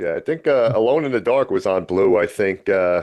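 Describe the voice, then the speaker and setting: The background stays quiet. A man speaks with a fairly quick pace. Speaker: podcast co-host. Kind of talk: interview.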